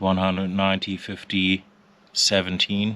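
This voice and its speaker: The man's voice sits very deep and low, yet the tone is bright and sharp. He speaks in a flat monotone with a non-native accent. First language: not English. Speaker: motorcycle owner. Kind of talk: casual walkaround commentary. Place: street. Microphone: phone near.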